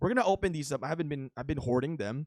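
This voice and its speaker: A man with a Filipino accent and a fairly high pitch speaks with lively intonation. The recording is very clean, with a silent background and a dry, close sound with no echo. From Philippines. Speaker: mobile game YouTuber. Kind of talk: gameplay commentary. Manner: casual, with many fillers.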